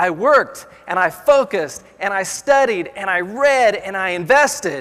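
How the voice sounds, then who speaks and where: A man with an American accent speaks in a raised, projected voice with a bright, sharp tone. His pace is fairly slow and his intonation lively. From Kansas, US (Dodge City). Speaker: motivational speaker. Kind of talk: motivational speech. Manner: animated storytelling.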